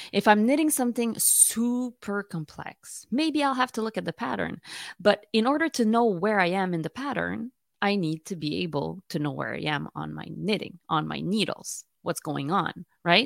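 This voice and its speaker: A woman at a moderate pace, dry and close with no echo, on a very clean recording with a silent background. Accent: Quebec. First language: French. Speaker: knitting podcaster. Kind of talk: casual tutorial monologue. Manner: hesitant, with fillers.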